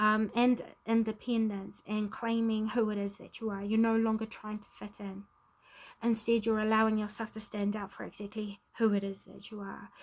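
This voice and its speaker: Somewhat breathy and fairly high-pitched, a woman speaks in a monotone, flat way at a moderate pace, with big swings in loudness. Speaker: tarot reader. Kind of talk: spiritual card reading to camera.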